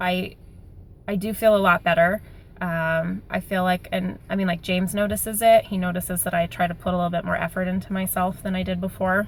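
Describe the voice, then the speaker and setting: This woman's voice sits at a medium pitch and is somewhat breathy. Her intonation is monotone and flat, and her pace is fairly quick. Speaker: vlogger sharing weight loss surgery update. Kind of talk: casual video diary. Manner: fast.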